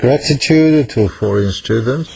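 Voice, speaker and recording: Speaking at a very slow pace with a Korean accent, this voice comes over noticeable background noise. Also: man. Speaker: professor. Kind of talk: lecture. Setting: classroom. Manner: halting.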